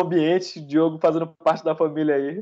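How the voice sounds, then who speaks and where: Against a quiet background, a man speaks at a high pitch. His pace is fairly quick. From Salvador, Bahia, Brazil. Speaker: software developer, podcast co-host. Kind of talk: casual chat.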